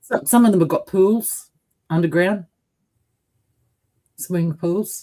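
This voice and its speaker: With an Australian accent, a woman speaks at a fairly slow pace in a dark, mellow tone, with ordinary pitch variation and long, frequent pauses. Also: medium pitch for a woman. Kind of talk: casual chat. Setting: livestream.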